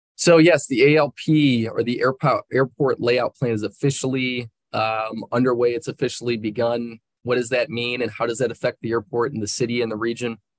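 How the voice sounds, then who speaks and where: Over a quiet background, a man speaks at a moderate pace with fairly even intonation in a dry sound with no echo. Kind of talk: meeting presentation. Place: office. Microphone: video call.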